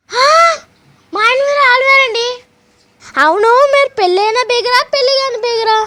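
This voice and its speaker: A woman puts on a character voice pitched extremely high. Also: moderate pace, ordinary pitch variation. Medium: comedy sketch. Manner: coy, flustered.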